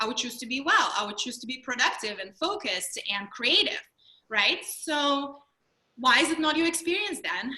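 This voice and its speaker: In a Russian accent, a woman projects a raised, high-pitched voice at a moderate pace, her pitch swinging very widely. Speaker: mindfulness trainer and speaker. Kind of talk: webinar presentation. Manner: animated.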